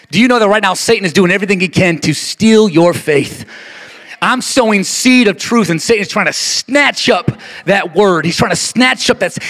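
Amid noticeable background noise, a man speaks at a moderate pace in a high pitch. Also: ordinary pitch variation. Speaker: pastor. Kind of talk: sermon. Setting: church; stage with audience. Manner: repetitive, rhythmic, exhorting.

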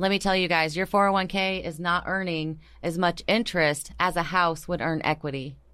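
In a very clean recording with a silent background, a woman with an American accent speaks at a fairly low pitch in a bright, sharp tone. Her pace is moderate and her intonation fairly even. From US Pacific Northwest, Tacoma. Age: 40s. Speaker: mortgage lender. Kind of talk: casual chat. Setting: studio.

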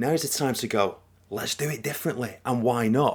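A man speaks with a northern English accent. The recording is very clean, with a silent background. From northern England. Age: 40s. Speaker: podcast co-host. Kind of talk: casual chat. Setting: home recording.

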